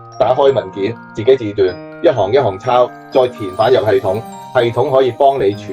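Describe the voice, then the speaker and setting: Music plays in the background. A man talks with lively intonation at a medium pitch. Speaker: enterprise AI consultant. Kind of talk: business explainer to camera.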